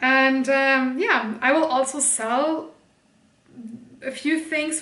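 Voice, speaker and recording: A woman talks at a very slow pace with a bright, sharp tone. Room echo is audible. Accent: German. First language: German. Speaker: streamer and video creator. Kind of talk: casual haul video chat.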